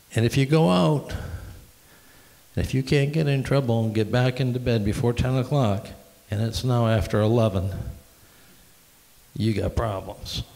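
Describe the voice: Vocal fry and a slightly mellow tone come with long, frequent pauses. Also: man, medium pitch for a man, ordinary pitch variation, moderate pace.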